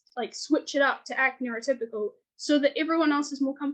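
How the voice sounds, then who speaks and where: A woman's high-pitched voice with a New Zealand accent. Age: 20s. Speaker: author and illustrator. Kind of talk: podcast interview. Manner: fast.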